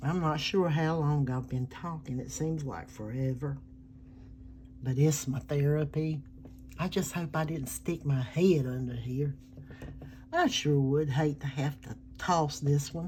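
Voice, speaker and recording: With a very deep, low pitch and a dark, mellow tone, a woman speaks fairly slowly in a relaxed, somewhat breathy way, using fairly even intonation and long, frequent pauses. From US South. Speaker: artist. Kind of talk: casual drawing narration.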